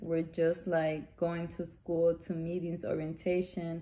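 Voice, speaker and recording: The woman talks with a Spanish accent. She keeps a fairly slow pace. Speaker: vlogger, mother. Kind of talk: casual chat. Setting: outdoors. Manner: casual, halting with fillers.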